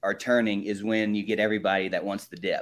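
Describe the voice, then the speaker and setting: A man with an unremarkable speaking voice talks fairly quickly at a fairly low pitch. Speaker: market analyst. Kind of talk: market commentary chat. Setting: video call.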